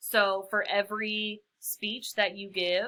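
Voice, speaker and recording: This woman's voice has a bright, sharp tone. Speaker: college public speaking instructor. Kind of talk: recorded lecture. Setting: solo recorded lecture for upload. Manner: casual, many fillers.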